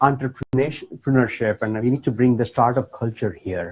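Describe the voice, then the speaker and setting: A man's somewhat breathy voice at medium pitch, dark and mellow in tone, with an Indian accent. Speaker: political candidate. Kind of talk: town hall speech. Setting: campaign office with audience.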